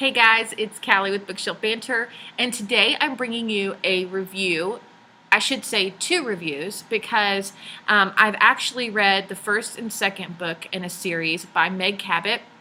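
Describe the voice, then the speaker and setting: A woman with a Texan accent speaks at a medium pitch and a fairly slow pace. Her tone is bright and sharp, with ordinary pitch variation. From Texas. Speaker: book reviewer. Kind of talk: casual video review. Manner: hesitant, many fillers.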